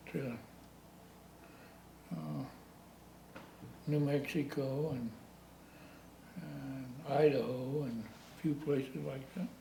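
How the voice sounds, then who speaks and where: A very slow, dark, mellow voice in a rural western American accent, with vocal fry, ordinary pitch variation, big swings in loudness, long, frequent pauses and audible room echo. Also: man, medium pitch for a man. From US West, rural Colorado (San Luis Valley). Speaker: retired heavy equipment operator, local old-timer. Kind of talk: oral history interview. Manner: halting.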